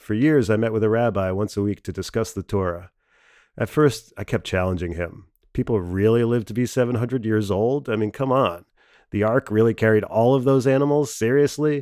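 A man with an American accent speaks at a moderate pace in a dark, mellow tone with ordinary pitch variation, on a very clean recording with a silent background. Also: medium pitch for a man. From US Midwest. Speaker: stand-up comedian. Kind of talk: essay reading.

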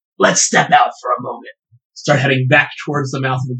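A raspy put-on character voice at a low-to-middle pitch moves along at a fairly quick pace. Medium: actual play.

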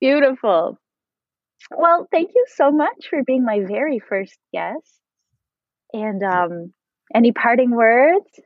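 Her pitch is high, swinging very widely as this woman speaks. She goes at a very slow pace with long, frequent pauses. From French Canadian background. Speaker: podcast host. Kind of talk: casual interview chat.

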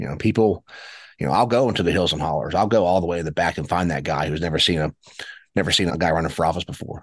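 A man's very deep, low voice in an Appalachian accent, very fast, with ordinary pitch variation over a quiet background. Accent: Appalachian American. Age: 30s. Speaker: Senate candidate. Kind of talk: interview. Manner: halting with frequent repetitions.

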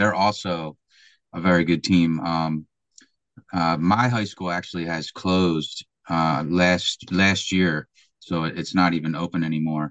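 With a Philadelphia accent, a man speaks at a very deep, low pitch and with fairly even intonation. The sound is dry and close with no echo, and the background is quiet. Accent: Philadelphia American. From Philadelphia, US. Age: 50s. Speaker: American football coach. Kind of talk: podcast interview. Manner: hesitant, many fillers.

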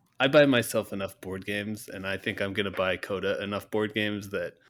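A man with a fairly low pitch and an unremarkable speaking voice. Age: 40s. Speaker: podcast co-host, parent. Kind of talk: casual chat.

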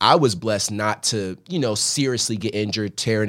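An unremarkable speaking voice from a man with an American accent, fairly low in pitch with ordinary variation, at a fairly quick pace, in a very clean recording with a silent background. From Philadelphia, US. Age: 20s. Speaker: former college running back and coach. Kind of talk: casual interview chat. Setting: studio.

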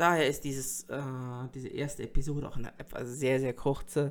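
A man's voice of medium pitch. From North Rhine-Westphalia, Germany. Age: 30s. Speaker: streamer and podcaster. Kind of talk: solo podcast monologue. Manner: hesitant, many fillers.

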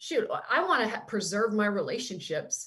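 A woman's fairly high voice with a Canadian accent at a moderate pace. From Canada, small town. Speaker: NFL sideline reporter, former basketball player. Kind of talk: casual interview chat. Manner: animated.

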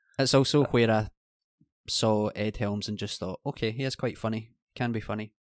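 Recorded in a dry, close sound with no echo, a man with a Scottish accent speaks at a medium pitch with fairly even intonation. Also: moderate pace. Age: 30s. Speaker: podcast co-host. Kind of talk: casual chat.

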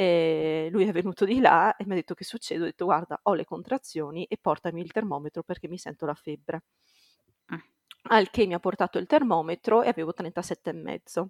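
The recording is dry and close with no echo, and a woman speaks in a normal speaking voice at a moderate pace. Her pitch is fairly low with ordinary variation, and her loudness swings a lot. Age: 20s. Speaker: primary school teacher, new mother. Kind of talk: testimony.

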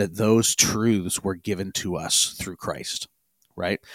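A man with a normal speaking voice and fairly low pitch is heard in a dry, close sound with no echo. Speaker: podcast host. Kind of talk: casual podcast discussion.

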